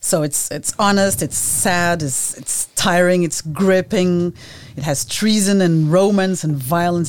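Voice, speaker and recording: A woman speaks with a Portuguese accent. Her pace is fairly slow. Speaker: podcast host. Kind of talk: interview conversation.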